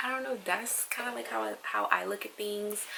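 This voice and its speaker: A woman talks fairly quickly while noticeable noise carries on behind her. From Trinidad. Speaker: travel vlogger. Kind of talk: casual vlog monologue. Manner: casual, hesitant with fillers.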